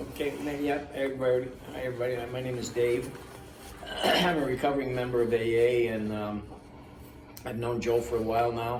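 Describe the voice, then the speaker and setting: A man talks at a fairly quick pace with medium pitch and fairly even intonation, leaving long, frequent pauses. Noticeable background noise and audible room echo fill the recording. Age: 80s+. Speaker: recovering alcoholic, AA member. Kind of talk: casual interview chat. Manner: halting, with fillers and repeats.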